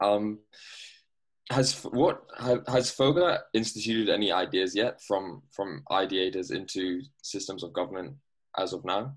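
Using a plain, everyday voice, a man with a fairly low pitch and ordinary pitch variation talks at a fairly slow pace on a very clean recording with a silent background. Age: young. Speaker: university student interviewer. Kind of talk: interview.

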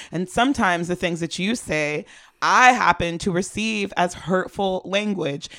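Speaking at a fairly slow pace, a woman has a medium pitch with ordinary variation and a bright, sharp, playful tone. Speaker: podcast co-host giving advice. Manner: playful, laughs often.

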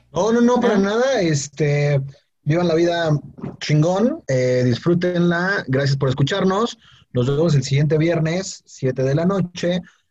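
A man with a Mexican accent talks fairly slowly in a high voice with lively intonation. His loudness stays very even. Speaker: podcast co-host. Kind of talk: casual chat.

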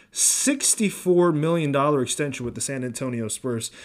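Speaking at a fairly quick pace with an American accent, a man uses a fairly high pitch with ordinary variation. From US East Coast, Philadelphia. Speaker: basketball podcast host. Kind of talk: solo sports podcast monologue.

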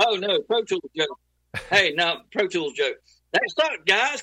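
With an American accent, a man speaks in a raised, projected voice at an extremely high pitch, his pitch swinging very widely. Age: 50s. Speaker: audio engineer and producer. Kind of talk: casual chat.

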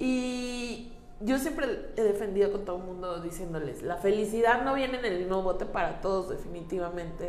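The speech comes at a fairly slow pace with lively intonation, over noticeable background noise and audible room echo. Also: woman. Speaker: interviewee sharing experience of abusive relationship. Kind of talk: testimony.

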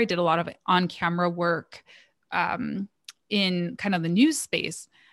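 A woman speaks in a plain, everyday voice at a medium pitch. Her intonation is fairly even, and the recording is very clean with a silent background. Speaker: marketing agency owner and business coach. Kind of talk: casual interview.

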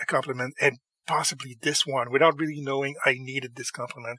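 A man speaks at a medium pitch with fairly even intonation. His tone is bright and sharp. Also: dry, close sound with no echo.

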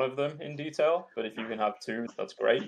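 A man rattles off his words very fast, his pitch varying in an ordinary way. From Yorkshire, England.

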